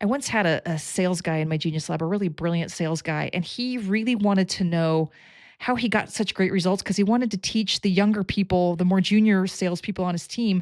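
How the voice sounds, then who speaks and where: A woman's unremarkable speaking voice at a medium pitch, with ordinary pitch variation and a fairly quick pace, on a very clean recording with a silent background. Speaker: coach who analyzes people's talents. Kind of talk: direct-to-camera explainer.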